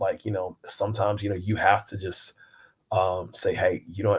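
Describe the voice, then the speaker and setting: Somewhat breathy and fairly low in pitch, a man speaks in a monotone, flat way at a moderate pace with an American accent. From US Midwest, Kansas City. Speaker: writer and speaker. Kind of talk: interview. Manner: halting, many repetitions.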